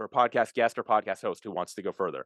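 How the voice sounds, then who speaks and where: Recorded against a quiet background, a man's voice comes through dry and close with no echo. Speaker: podcast host and software founder. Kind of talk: interview. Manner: fast.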